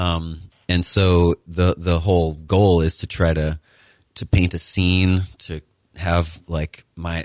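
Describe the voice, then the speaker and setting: A man with an American accent and a very deep, low pitch speaks in a monotone, flat intonation, recorded very cleanly with a silent background and a dry, close sound with no echo. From Connecticut. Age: 40s. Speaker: newspaper owner and journalist. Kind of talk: interview. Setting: studio. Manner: hesitant.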